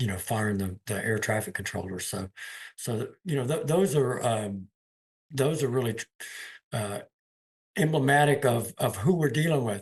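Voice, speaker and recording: A somewhat breathy man's voice of medium pitch, moderate pace and lively intonation, broken by long, frequent pauses. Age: 60s. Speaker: union leader. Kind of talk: interview. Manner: halting, repeats words.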